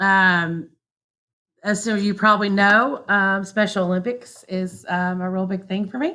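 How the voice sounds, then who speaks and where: Using an American accent, a woman speaks fairly slowly at medium pitch with fairly even intonation. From US South, southwest Arkansas. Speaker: teacher. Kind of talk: class introduction video for parents.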